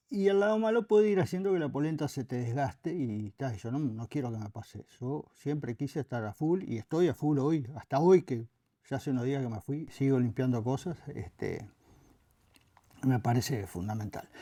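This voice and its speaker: A man with a Uruguayan accent, medium pitch and very wide pitch swings, at a moderate pace, on a very clean recording with a silent background. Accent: Rioplatense Spanish (Uruguayan). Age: 70s. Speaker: former anti-corruption official. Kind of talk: interview. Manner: hesitant, frequent fillers.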